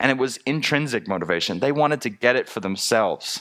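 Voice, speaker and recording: An animated man with an American accent and medium pitch uses lively intonation, heard in a very clean recording with a silent background. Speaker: teacher. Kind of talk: talk to a spiritual community.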